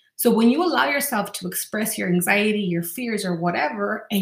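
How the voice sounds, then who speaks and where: A woman speaks at medium pitch with a warm, somewhat breathy tone. Her pace is fairly quick. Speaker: life coach podcaster. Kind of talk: guided visualization; self-help talk. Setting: solo podcast. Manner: warm, encouraging.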